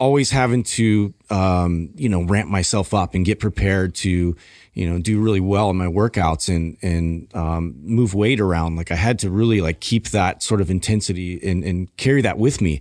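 Over a quiet background, a man with a very deep, low pitch talks at a moderate pace with hardly any pauses, ordinary pitch variation and very even loudness. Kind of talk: casual podcast conversation.

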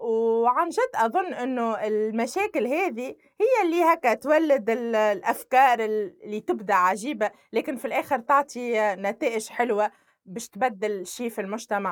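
A woman with an ordinary speaking voice talks at a fairly slow pace, her fairly high pitch carrying lively intonation. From Tunisia, Sfax. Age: 20s. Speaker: civil society activist. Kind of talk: interview testimony.

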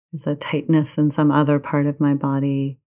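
This woman's voice is very deep and low in pitch. Her tone is gentle, calm, dark and mellow. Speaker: meditation teacher. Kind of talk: guided meditation. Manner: slow, calm, soothing; gentle, unhurried, with long pauses.

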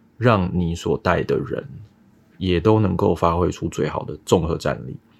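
This man's pitch is very deep and low, and his intonation stays fairly even. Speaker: data analytics director. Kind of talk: casual interview.

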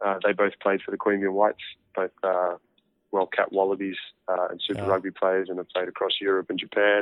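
A man with an Australian accent speaks at a fairly low pitch and a fairly quick pace, leaving long, frequent pauses. His intonation is flat and monotone. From Australia, near Canberra. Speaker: professional rugby player. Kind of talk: interview.

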